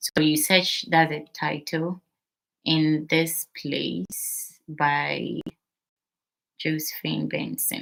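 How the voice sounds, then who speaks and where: With a Ghanaian accent, a woman speaks at a very slow pace. Her pauses are long and frequent. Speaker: midwife and channel host. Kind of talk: live stream Q&A. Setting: live stream on TikTok.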